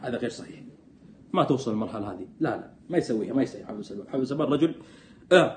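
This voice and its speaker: Somewhat breathy at a very fast pace, a man speaks at medium pitch with lively intonation, big swings in loudness and light background noise. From Saudi Arabia, Jeddah; Saudi Arabia. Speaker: political commentator. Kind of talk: live stream commentary. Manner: animated. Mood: sarcastic, animated, critical. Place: home room. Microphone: phone near.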